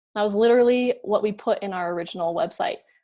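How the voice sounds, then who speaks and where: With an American accent, a woman in an unremarkable speaking voice talks at a medium pitch and moderate pace, with ordinary pitch variation, against a quiet background. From Colorado, US. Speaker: nonprofit co-founder. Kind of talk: keynote speech.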